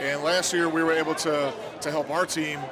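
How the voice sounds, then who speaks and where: With audible room echo and noticeable background noise, a man speaks at a fairly high pitch with fairly even intonation. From Louisiana. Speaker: business owner and hockey parent. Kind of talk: casual interview. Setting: live event at ice rink.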